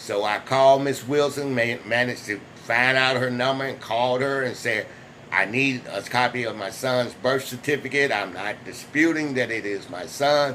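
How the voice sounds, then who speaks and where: At a moderate pace and with fairly even intonation, the speech comes over noticeable background noise. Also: man, medium pitch for a man. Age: 60s. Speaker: vlogger sharing personal experience. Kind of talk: personal testimony vlog. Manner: halting, with restarts.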